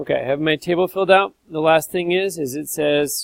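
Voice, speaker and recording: At a moderate pace, a man talks in a fairly high pitch with a normal speaking voice. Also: dry, close sound with no echo. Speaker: math teacher. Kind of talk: tutorial.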